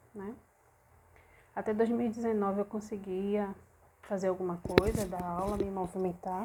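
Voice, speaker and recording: A woman is soft-spoken. Her pitch sits at medium. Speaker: belly dance teacher and vlogger. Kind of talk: personal vlog, venting. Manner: soft-spoken, speaking quietly.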